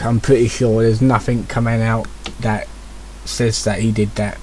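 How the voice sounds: A man with an English accent speaks at a moderate pace. His voice is medium-pitched and somewhat breathy.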